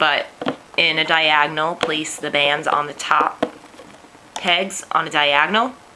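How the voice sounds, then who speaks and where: A woman with a New York accent, very deep and low in pitch, at a fairly slow pace, with noticeable background noise. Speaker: teacher and craft tutorial maker. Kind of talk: tutorial.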